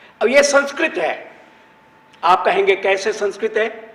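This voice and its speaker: With noticeable background noise behind him, a man talks using lively intonation. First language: Gujarati (speaking Hindi). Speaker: Sanskrit scholar, panelist. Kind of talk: panel discussion talk.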